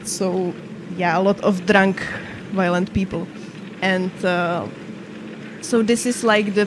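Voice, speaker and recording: At a very slow pace and medium pitch, a woman speaks in a monotone, flat intonation. Long, frequent pauses break up her words amid noticeable background noise. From Czech Republic, Moravia. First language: Czech. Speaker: gaming streamer. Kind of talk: casual chat. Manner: halting.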